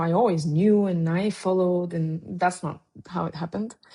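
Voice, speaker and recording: A woman with a Bulgarian accent, medium pitch, moderate pace and a dark, mellow tone. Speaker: documentary photographer. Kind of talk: interview conversation. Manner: halting, with many fillers.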